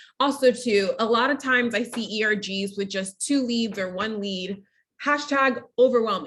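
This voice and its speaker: A woman speaks at a moderate pace in an animated tone, her fairly high pitch showing ordinary variation. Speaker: DEI manager leading an ERG workshop. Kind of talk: online workshop presentation. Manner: loud.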